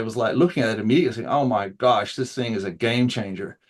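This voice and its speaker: Against a quiet background, a man speaks with a New Zealand accent. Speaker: open source AI consultant. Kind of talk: interview. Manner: casual with many fillers.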